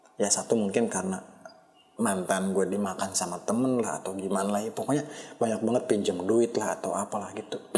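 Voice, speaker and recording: There is noticeable background noise behind this speaker. He is a man with a fairly low pitch. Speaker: solo podcaster. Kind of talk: casual monologue. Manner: halting. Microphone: poor-quality microphone.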